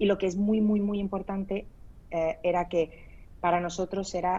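Her tone dark and mellow, a woman talks at a fairly slow pace in a monotone, flat intonation. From Spain. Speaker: startup founder. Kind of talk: interview. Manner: halting.

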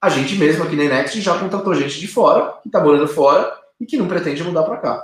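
A high-pitched man at a fairly quick pace, with lively intonation. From Brazil, São Paulo state (Arujá). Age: 30s. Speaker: company co-founder. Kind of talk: interview. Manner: hesitant, many fillers.

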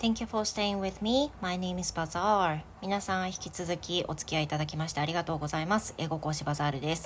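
Somewhat breathy, the voice moves at a fairly quick pace with hardly any pauses and ordinary pitch variation. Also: woman, fairly low pitch for a woman. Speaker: English teacher. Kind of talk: solo podcast monologue, bilingual. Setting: home living room. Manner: relaxed.

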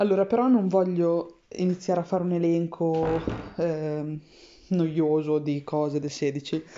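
Over noticeable background noise, a woman speaks at a fairly low pitch and fairly slow pace with fairly even intonation. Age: 30s. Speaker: podcaster. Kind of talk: personal audio diary.

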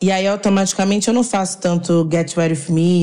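A woman speaks at a medium pitch and moderate pace. Her tone is dark and mellow. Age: 20s. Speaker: beauty content creator. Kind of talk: casual chat.

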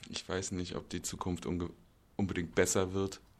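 Ordinary pitch variation and a moderate pace from a man with a very deep, low pitch. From Berlin, Germany. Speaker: stage actor. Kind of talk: casual interview. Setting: theatre make-up room.

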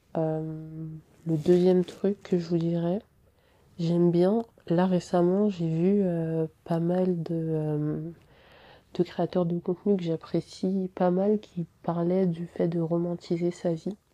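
A woman's dark, mellow, fairly low voice, monotone and flat, at a very slow pace, dry and close with no echo on a very clean recording with a silent background. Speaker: podcaster. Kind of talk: casual monologue.

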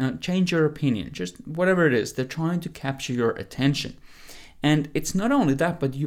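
A man with an unremarkable speaking voice, fairly high in pitch, talks at a fairly quick pace with lively intonation. The recording is very clean, with a silent background. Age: 20s. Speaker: health and fitness coach. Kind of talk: solo podcast monologue.

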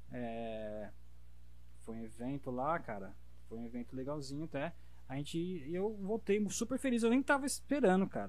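There is audible room echo around a man's voice. He leaves long, frequent pauses. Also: moderate pace. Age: 30s. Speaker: body piercer. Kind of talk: casual chat.

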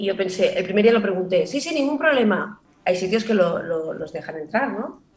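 A woman talks at a fairly quick pace in a medium pitch with lively intonation, over noticeable background noise. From Barcelona, Spain. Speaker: actress and comedian. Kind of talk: casual chat.

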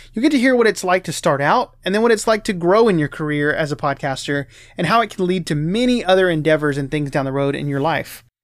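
With hardly any pauses, a man races along at a very fast pace, his high voice full of lively intonation on a very clean recording with a silent background. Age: 20s. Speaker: podcast host. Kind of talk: scripted intro; casual interview chat.

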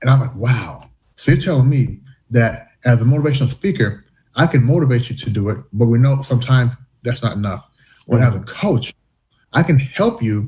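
A man talks at a fairly quick pace. His voice has a dark, mellow tone and sounds somewhat breathy. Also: medium pitch for a man, ordinary pitch variation. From US, born in Canada to Jamaican parents. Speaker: diversity coach and entrepreneur. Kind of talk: interview conversation. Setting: remote call. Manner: talkative, jumps in.

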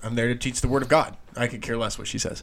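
A man's put-on character voice in a strong Irish accent, raspy and medium-pitched, very fast and flat in monotone. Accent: thick Irish. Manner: dismissive, nonchalant.

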